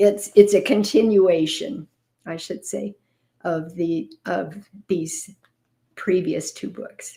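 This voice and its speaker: This woman has a dark, mellow tone at a medium pitch. Her pitch varies in an ordinary way. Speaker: pastor. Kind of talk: reading aloud with commentary. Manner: halting.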